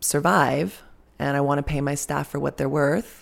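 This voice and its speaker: The recording is very clean, with a silent background. A woman speaks at a moderate pace in a very deep, low pitch. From Albuquerque, New Mexico. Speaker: nurse midwife and birth center director. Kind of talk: interview.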